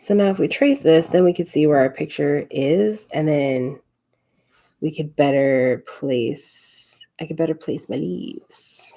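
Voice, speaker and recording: With a very deep, low pitch and a dark, mellow tone, a woman speaks at a fairly slow pace using lively intonation. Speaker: scrapbooking livestreamer. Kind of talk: live crafting tutorial chat. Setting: home craft desk livestream. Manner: mumbling to herself.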